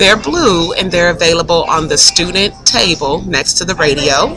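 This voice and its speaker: Noticeable noise in the background accompanies talk at a moderate speed. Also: woman. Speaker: teacher. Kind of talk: recorded classroom instruction screencast. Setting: classroom screencast recording.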